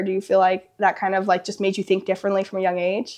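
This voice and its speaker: A woman's voice against a quiet background. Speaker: podcast host. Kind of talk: casual interview.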